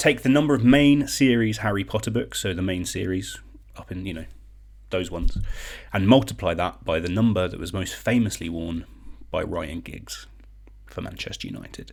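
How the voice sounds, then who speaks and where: With a British accent and a very deep, low pitch, a man speaks at a moderate pace with lively intonation and vocal fry. He leaves long, frequent pauses. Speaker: online quiz host. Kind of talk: live-stream quiz hosting. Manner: casual, chatty.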